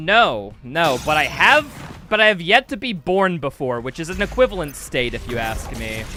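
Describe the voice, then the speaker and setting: An animated voice in an American accent at a moderate pace, with very wide pitch swings and noticeable background noise. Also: man. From US Midwest, Wisconsin. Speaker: video game streamer. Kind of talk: live gameplay stream chat. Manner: casual, animated.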